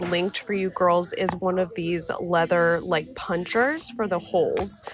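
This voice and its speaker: At a moderate pace, a woman speaks in a medium pitch over noticeable background noise. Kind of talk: live sales demo and tutorial. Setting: studio live stream. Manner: casual, chatty.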